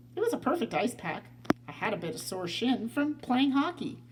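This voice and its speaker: A put-on character voice, fairly high in pitch, with very wide pitch swings over clear background noise. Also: moderate pace. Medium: read story. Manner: relaxed, good-humored.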